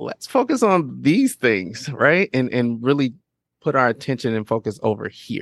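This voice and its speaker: This man has an ordinary speaking voice of medium pitch, with lively intonation at a moderate pace. The sound is dry and close, with no echo. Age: 40s. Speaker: podcast production entrepreneur. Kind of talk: casual interview chat.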